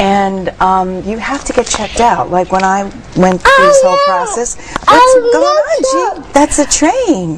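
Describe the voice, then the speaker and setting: A woman at a fairly slow pace, with big swings in loudness and noticeable background noise. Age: 60s. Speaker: mother of young twins, healing musician. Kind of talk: TV interview. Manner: animated.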